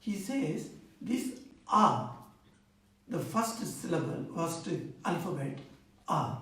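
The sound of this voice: A man with an Indian accent speaks slowly in a high, bright and sharp voice with big pitch swings, heard through strong room echo.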